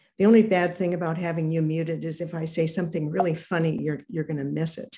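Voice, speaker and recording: Over a quiet background, a woman with an American accent speaks at a fairly low pitch in a dark, mellow tone with fairly even intonation. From US West. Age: 70s. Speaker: ceramic artist. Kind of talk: artist talk.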